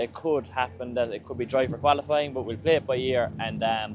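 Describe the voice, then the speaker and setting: A man at a medium pitch with ordinary pitch variation at a moderate pace, music in the background. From Ireland. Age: young. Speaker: drift racing driver. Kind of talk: casual talk to camera.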